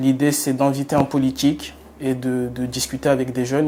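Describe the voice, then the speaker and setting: Monotone, flat intonation marks a man's fairly high-pitched speech. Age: 20s. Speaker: journalism student. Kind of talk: testimony.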